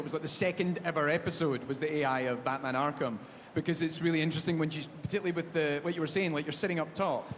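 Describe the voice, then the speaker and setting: This man speaks with a Scottish accent at a very fast pace. His pitch is fairly high. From Scotland. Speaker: panel host. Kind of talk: panel discussion.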